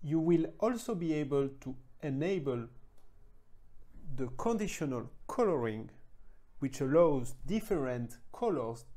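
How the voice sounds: The tone is dark and mellow, with lively intonation. Delivery comes at a fairly slow pace.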